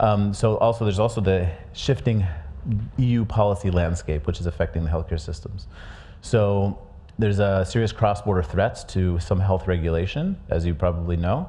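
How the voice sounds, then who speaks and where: A man's fairly low voice with a dark, mellow tone, somewhat breathy, in an American accent, with ordinary pitch variation and audible room echo. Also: moderate pace. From USA. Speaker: conference speaker presenting a research report. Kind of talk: conference presentation. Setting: conference stage with audience. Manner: hesitant, many fillers and restarts.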